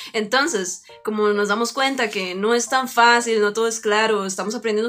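Against noticeable background noise, a woman speaks at a fairly quick pace in a fairly high pitch with ordinary pitch variation. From Costa Rica, rural area near Turrialba. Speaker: podcast co-host. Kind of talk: casual chat.

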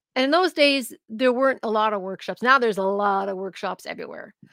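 Lively and animated, a woman with an Ontario accent speaks at a high pitch with a bright, sharp tone and lively intonation, in a dry, close, echo-free recording that is very clean with a silent background. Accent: Canadian (Ontario). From Canada, Niagara region, Ontario. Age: 60s. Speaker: jazz singer, actor and vocal coach. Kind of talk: interview. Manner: animated, laughs often.

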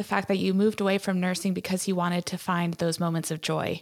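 A woman speaks at a fairly quick pace in a normal speaking voice, her pitch medium. The recording is very clean, with a silent background. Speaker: podcast host. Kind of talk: interview, scripted intro. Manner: warm, upbeat.

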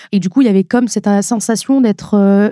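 Recorded with a dry, close sound and no echo, a woman speaks at a moderate pace and medium pitch, her tone dark and mellow and her intonation fairly even. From northern France (Nord-Pas-de-Calais). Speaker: beauty influencer. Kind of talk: podcast interview.

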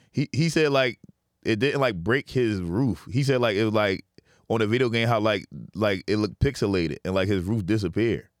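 A man's plain, everyday voice at medium pitch, with lively intonation and a moderate pace, in a dry, close sound with no echo. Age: 30s. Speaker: comedian. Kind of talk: casual chat.

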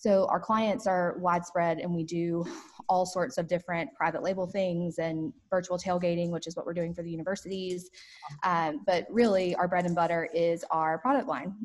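At a moderate pace, a woman speaks with a fairly low pitch and fairly even intonation. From US South, southwest Georgia. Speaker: entrepreneur. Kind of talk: interview. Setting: video call.

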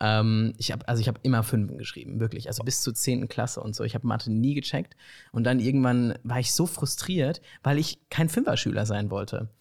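This man's somewhat breathy voice comes through on a very clean recording with a silent background. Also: medium pitch for a man, ordinary pitch variation, fairly quick pace. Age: 20s. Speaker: student filmmaker and actor. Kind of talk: casual chat. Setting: living room couch.

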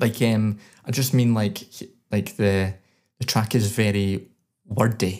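Speaking at a fairly slow pace with long, frequent pauses, a man with a Scottish accent uses a fairly low pitch and fairly even intonation in a very clean recording with a silent background. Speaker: podcast co-host, songwriter. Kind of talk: music review; casual chat.

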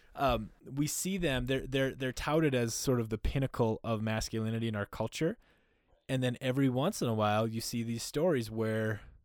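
At a moderate pace, a normal speaking voice talks in an American accent. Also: man. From US Upper Midwest (North Dakota, Minnesota). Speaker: men's community founder. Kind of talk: casual interview.

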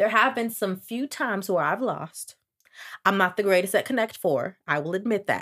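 Her tone bright, sharp and animated, a woman speaks at medium pitch and a moderate pace. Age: 20s. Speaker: podcast host. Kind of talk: casual monologue.

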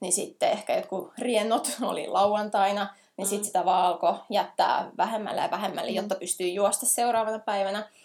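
With a plain, everyday voice, a woman talks at a medium pitch and a moderate pace with fairly even intonation. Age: 30s. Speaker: ultra trail runner and animal care teacher. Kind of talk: casual interview.

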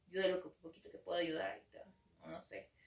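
A woman talks at a medium pitch. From Mexico, Ciudad Victoria, Tamaulipas. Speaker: psychologist. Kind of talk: interview. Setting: studio. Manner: halting, many fillers.

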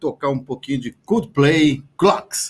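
Somewhat breathy, a man with a fairly high pitch speaks at a fairly slow pace with ordinary pitch variation. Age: 30s. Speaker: radio host. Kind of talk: radio talk show. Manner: animated.

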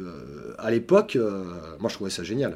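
With a dark, mellow tone, a man speaks in very wide pitch swings. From southern France (Montpellier). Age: 50s. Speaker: software developer. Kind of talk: interview.

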